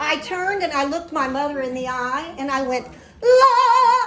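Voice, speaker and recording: A woman's raised, projected voice with an animated tone and very wide pitch swings, at a fairly slow pace, amid audible room echo and noticeable background noise. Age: 70s. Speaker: singer and keynote speaker. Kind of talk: keynote speech.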